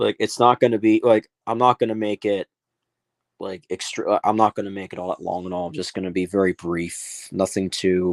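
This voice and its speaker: Over a very clean recording with a silent background, a man with a fairly low pitch talks at a fairly quick pace with fairly even intonation. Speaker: streamer. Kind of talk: casual live stream talk. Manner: rambling, halting with fillers.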